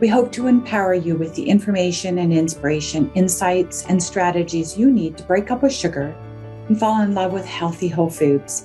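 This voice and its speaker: A woman's fairly low voice at a moderate pace with ordinary pitch variation, music playing in the background. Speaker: health coach, podcast host. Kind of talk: podcast intro read.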